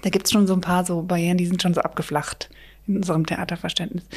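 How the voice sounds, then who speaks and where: Somewhat breathy, a woman delivers her lines in a fairly low pitch with flat, monotone intonation. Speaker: theatre director. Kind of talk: casual chat.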